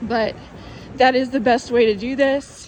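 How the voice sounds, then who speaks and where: Noticeable background noise sits behind the recording. A woman speaks with fairly even intonation. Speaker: testimony vlogger. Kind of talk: testimony. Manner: slow.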